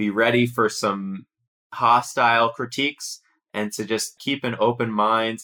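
The tone is bright and sharp, with an American accent. Intonation stays fairly even. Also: man. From United States. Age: 30s. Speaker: investigative journalist. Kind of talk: interview.

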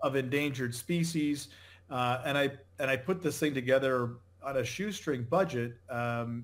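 A man with a plain, everyday voice keeps a medium pitch, a moderate pace and ordinary pitch variation. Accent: American. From New England, Connecticut. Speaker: company founder and CEO. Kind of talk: interview.

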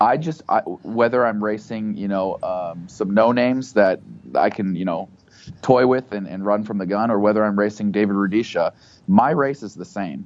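A man speaks with an American accent in an ordinary speaking voice. His pitch is fairly low, with ordinary variation. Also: moderate pace. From United States. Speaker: professional middle-distance runner and entrepreneur. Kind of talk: interview. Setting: phone call.

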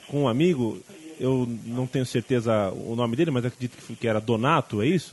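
A man with an ordinary speaking voice and medium pitch talks at a fairly quick pace. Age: 20s. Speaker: podcast host. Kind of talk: interview.

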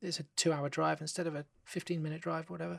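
The speaker has a London accent. The recording is very clean, with a silent background. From London, England. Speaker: film director. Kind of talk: podcast interview.

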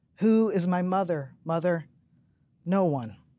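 Heard on a very clean recording with a silent background, the speaker has an American accent and a fairly slow pace. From Tennessee, US South. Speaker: poet. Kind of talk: poetry reading. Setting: stage with audience.

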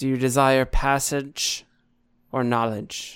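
A booming put-on character voice from a man, medium in pitch, at a fairly slow pace on a very clean recording with a silent background

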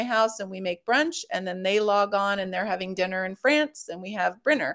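A woman with medium pitch and ordinary pitch variation uses a normal speaking voice. The recording is very clean, with a silent background. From US West Coast, Los Angeles. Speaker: health coverage advocate. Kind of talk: casual chat. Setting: live stream.

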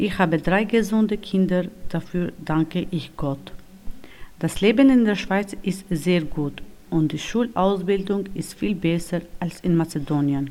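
With a non-native accent, a woman talks at a fairly slow pace in a dark, mellow tone, medium-pitched with ordinary pitch variation. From North Macedonia. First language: not German (speaking German). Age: 30s. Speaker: homemaker, former nurse. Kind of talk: reading aloud.

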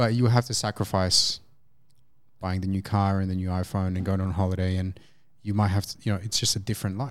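Speaking fairly quickly in an Australian accent, a man with a very deep, low voice keeps a monotone, flat intonation on a very clean recording with a silent background. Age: 20s. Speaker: integrative health practitioner. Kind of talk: casual chat.

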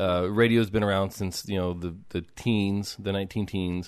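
Over a quiet background, a man speaks in a plain, everyday voice, fairly low in pitch, at a moderate pace with ordinary pitch variation. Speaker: podcast host. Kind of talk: interview chat.

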